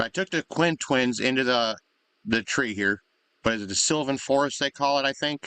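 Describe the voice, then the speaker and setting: Mumbling at a fairly quick pace, a man speaks at medium pitch with a bright, sharp tone and ordinary pitch variation, in a dry, close sound with no echo. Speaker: gaming video creator. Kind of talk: gameplay commentary. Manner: halting.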